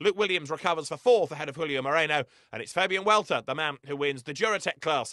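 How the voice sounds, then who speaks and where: In a British accent, a man speaks very fast at a fairly high pitch with ordinary pitch variation, the sound dry and close with no echo and the background quiet. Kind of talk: race commentary. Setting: broadcast over race footage. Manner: fast, excitable play-by-play, rising with the action; informed and fluent, naming drivers, cars and corners.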